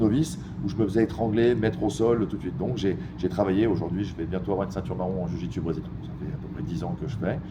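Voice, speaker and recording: Very fast pace with very wide pitch swings. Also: man. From Geneva, Switzerland. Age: 40s. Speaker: MMA fighter. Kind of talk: interview. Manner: halting, many hesitations.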